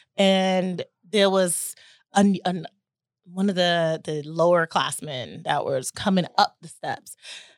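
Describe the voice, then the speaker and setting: A woman with an American accent and a fairly low pitch, fairly even in intonation, at a fairly slow pace, on a dry, close recording with no echo and a very clean, silent background. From US South, Chattanooga, Tennessee. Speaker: navy veteran. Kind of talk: interview. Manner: halting.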